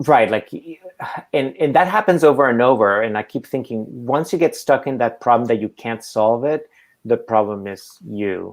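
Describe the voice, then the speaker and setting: With a non-native accent, a man speaks at medium pitch and a moderate pace, with ordinary pitch variation, in a very clean recording with a silent background. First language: not English. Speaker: artist. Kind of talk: public conversation.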